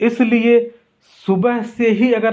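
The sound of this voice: A man's high-pitched voice carries a slightly mellow tone.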